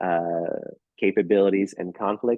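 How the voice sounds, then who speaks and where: A man talks with a New York accent. His intonation stays fairly even. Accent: New York American. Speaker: think tank senior fellow, speaker. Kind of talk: lecture. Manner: fast.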